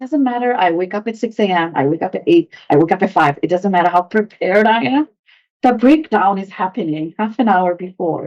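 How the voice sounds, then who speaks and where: A woman speaks at a fairly quick pace with lively intonation. The sound is dry and close, with no echo. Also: medium pitch for a woman. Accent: non-native. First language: Bengali. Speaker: home cook. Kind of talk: podcast interview.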